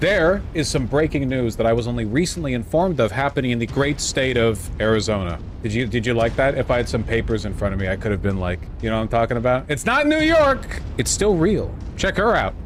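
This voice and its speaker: A man's medium-pitched voice at a very fast pace, lively intonation, noticeable background noise. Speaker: political streamer. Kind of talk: live stream commentary. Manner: casual, halting with fillers.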